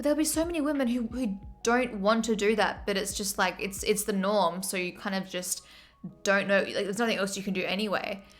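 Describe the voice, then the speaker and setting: Speaking in an Australian accent, a woman has a medium-pitched voice with ordinary pitch variation. Her pace is fairly quick. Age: 20s. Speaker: streamer. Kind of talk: casual chat. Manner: fast.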